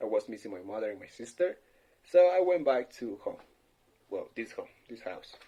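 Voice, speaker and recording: With a dark, mellow tone, a man talks using lively intonation. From Ecuador (Quito), childhood partly in London. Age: 20s. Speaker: office worker answering practice questions. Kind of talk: language practice monologue. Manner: halting.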